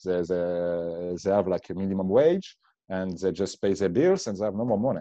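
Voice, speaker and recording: The voice carries a French accent and a dark, mellow tone. It moves at a moderate pace over a quiet background. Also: man. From France. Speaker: bitcoin meetup organizer. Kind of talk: casual interview chat. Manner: halting, searching for words.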